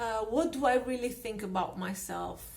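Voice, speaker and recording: A woman speaks with a non-native accent. Her pitch varies in an ordinary way. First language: not English. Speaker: personal growth YouTuber. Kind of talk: casual talk to camera.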